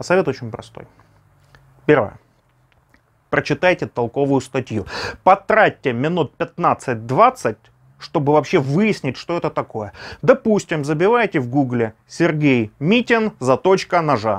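A man at a fairly slow pace with long, frequent pauses and very wide pitch swings, against a quiet background. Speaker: knife hobbyist vlogger. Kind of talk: casual vlog chat. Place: home room.

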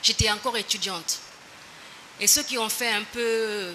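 At a fairly slow pace, a woman with a fairly high pitch speaks over light background noise. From Guinea, raised abroad from age 8 (partly England). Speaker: defendant, former member of parliament. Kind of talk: court testimony. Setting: courtroom. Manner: formal. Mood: calm, defensive explanation. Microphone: podium.

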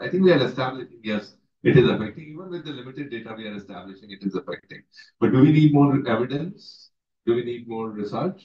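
Very fast speech with an Indian accent, somewhat breathy and with big swings in loudness, is heard over a quiet background with audible room echo. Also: man. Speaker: water professional; panelist. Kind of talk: closing remarks. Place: meeting room. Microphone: camera far.

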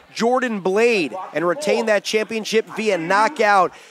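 Against noticeable background noise, a man with a high pitch speaks in an excited, energetic tone with ordinary pitch variation. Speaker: wrestling commentator. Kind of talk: live wrestling commentary. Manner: excited play-by-play, punchy and fast-paced; projecting, energetic call of the action.

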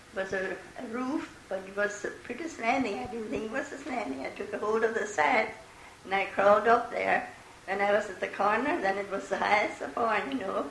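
A woman with an American accent speaks at a fairly high pitch and a fairly quick pace, with lively intonation. Light background noise and audible room echo are present. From Eastern Pennsylvania, USA. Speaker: great grandmother interviewee. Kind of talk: oral history interview answer. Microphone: old recording.

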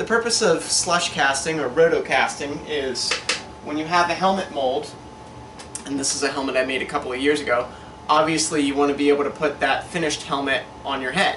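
Light noise sits in the background. A man's voice carries audible echo from the room. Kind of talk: tutorial. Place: workshop.

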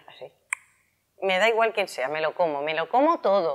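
Over a quiet background, a woman talks at a moderate pace with very wide pitch swings. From Spain. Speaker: health and wellness youtuber; wellness youtuber. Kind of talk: casual explanatory vlog. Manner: animated. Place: shop. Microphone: lapel.

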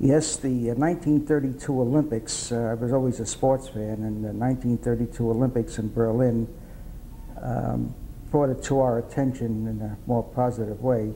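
A man in a New York accent, medium-pitched, with fairly even intonation and a fairly slow pace. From New York City, Upper East Side. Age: 80s+. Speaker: World War II veteran. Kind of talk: oral history interview.

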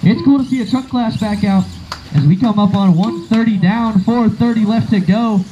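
A man speaks at a high pitch with a dark, mellow tone. Faint background noise sits beneath him.

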